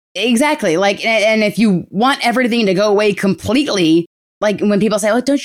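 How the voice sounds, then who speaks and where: Speaking with an American accent, a woman talks at a very fast pace. Her fairly high voice has lively intonation. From New Rochelle, New York. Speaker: mental health activist. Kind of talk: casual interview.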